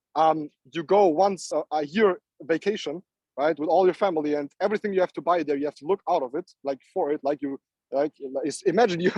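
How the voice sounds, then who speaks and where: A man with a non-native accent speaks at a fairly quick pace with a fairly high pitch and ordinary pitch variation, the sound dry and close with no echo. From Namibia, then Europe. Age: 20s. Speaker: entrepreneur and trader. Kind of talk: motivational talk. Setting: live online call. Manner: halting, repeats words; animated.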